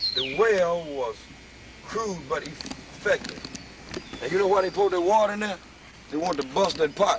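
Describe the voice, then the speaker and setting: A man speaks at a high pitch and a fairly slow pace. Noticeable background noise is audible. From Mississippi. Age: 30s. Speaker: religious video maker. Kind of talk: documentary tour commentary.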